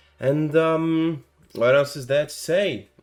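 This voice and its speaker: A man talks at a fairly slow pace while music runs in the background. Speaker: gaming content creator. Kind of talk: tutorial. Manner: casual, filler-heavy.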